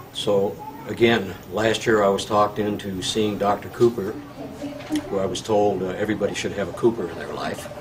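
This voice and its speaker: A fairly low-pitched man at a moderate pace, monotone and flat in intonation, with big swings in loudness and noticeable background noise. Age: 60s. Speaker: patient. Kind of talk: testimony. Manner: halting, many filler words.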